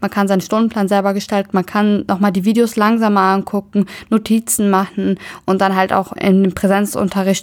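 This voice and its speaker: On a very clean recording with a silent background, a woman speaks. Her pitch is medium and her pace moderate. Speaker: university student. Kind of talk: casual interview.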